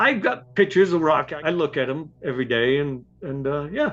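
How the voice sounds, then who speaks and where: This man has an ordinary speaking voice, fairly high in pitch. He talks at a moderate pace. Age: 60s. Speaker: retired Marine sergeant. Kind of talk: interview testimony.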